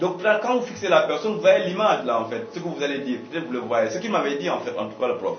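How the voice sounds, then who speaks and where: A man talks at a very fast pace with hardly any pauses. Music plays in the background, and the room echo is audible. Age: young. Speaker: communication consultant. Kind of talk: radio interview. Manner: halting, with repetitions.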